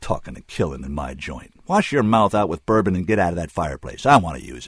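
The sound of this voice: A man's put-on character voice, low in pitch with a slightly husky edge, fast pace and big pitch swings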